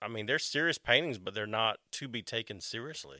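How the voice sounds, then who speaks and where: Bright and sharp in tone, a man speaks at a medium pitch and a moderate pace. The recording is very clean with a silent background, dry and close with no echo. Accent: Southern US. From US South. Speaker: artist. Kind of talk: casual chat.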